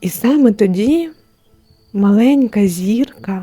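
A soft-spoken woman talks very slowly at a medium pitch. Music plays in the background. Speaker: storyteller. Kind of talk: bedtime story for adults. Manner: soft, calming.

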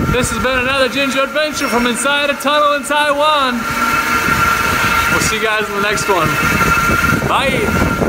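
Against loud background noise, a man talks at a moderate pace with ordinary pitch variation and long, frequent pauses. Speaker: travel vlogger. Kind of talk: casual vlog chat. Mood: happy, relaxed. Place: tunnel cave. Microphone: phone near.

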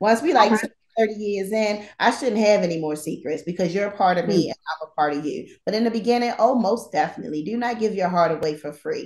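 Over a quiet background with audible room echo, a woman talks at a fairly quick pace with ordinary pitch variation. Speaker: talk show host. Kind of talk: casual talk show chat. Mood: playful, laughing. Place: home room. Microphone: phone near.

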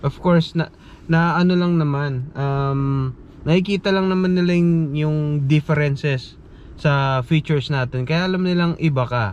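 A man speaks in a plain, everyday voice at a moderate pace, his fairly high pitch moving with ordinary variation. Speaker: nurse vlogger. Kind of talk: casual vlog monologue.

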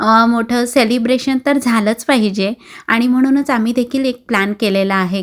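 A woman speaks in an unremarkable speaking voice at a fairly high pitch. Her intonation is fairly even and her loudness very even. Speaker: vlogger. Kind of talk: vlog narration.

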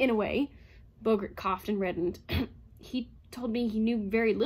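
Someone reads aloud. The reading is plain.

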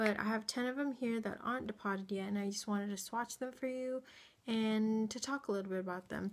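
Speaking at a fairly quick pace, a woman uses a fairly high pitch and fairly even intonation. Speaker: beauty vlogger. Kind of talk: casual talk to camera. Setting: indoors at home, late at night. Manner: whispered, quiet. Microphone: phone near.

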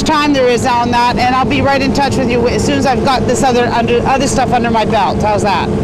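Against loud background noise, a man talks at a fairly quick pace with hardly any pauses, ordinary pitch variation and a dry sound with no echo. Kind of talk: phone call conversation. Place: boat.

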